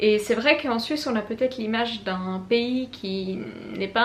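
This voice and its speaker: A woman's fairly high voice with a Swiss accent and ordinary pitch variation, in a room with audible echo. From Switzerland (French-speaking). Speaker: booktuber. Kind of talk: book review vlog.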